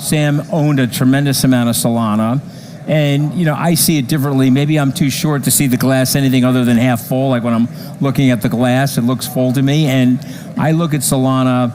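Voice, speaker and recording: Fairly quick speech from a man at a medium pitch, with fairly even intonation and very even loudness amid noticeable background noise. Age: 60s. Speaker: crypto investor. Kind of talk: interview.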